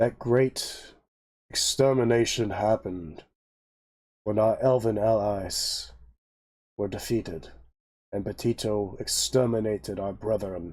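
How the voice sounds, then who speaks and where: Putting on a character voice, a man speaks at a fairly slow pace in a medium pitch, with long, frequent pauses. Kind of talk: fantasy epic speech. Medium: actual play. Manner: formal, stately.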